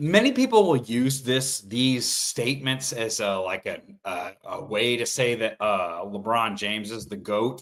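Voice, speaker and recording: Loud and fairly slow, a man speaks with hardly any pauses. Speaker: sports talk show host. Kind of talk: solo sports commentary livestream. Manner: animated.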